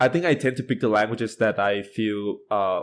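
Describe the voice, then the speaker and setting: Monotone and flat in intonation, a man talks at a fairly quick pace. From Thailand. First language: Thai. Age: 20s. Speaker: university student, polyglot. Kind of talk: podcast interview.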